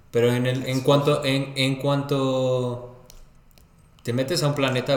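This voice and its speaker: A man speaks with a Mexican accent at a medium pitch. His pace is fairly slow, and room echo is audible. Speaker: podcast co-host. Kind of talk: casual chat.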